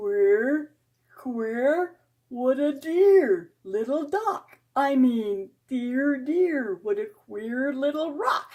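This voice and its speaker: A female-sounding, put-on character voice, high in pitch and very slow in pace. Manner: funny, whimsical.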